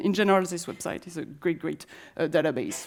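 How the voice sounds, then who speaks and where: Lively intonation in a French accent. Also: woman. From France. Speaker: conference speaker on autonomous transit. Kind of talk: conference presentation. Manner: halting, many fillers and restarts.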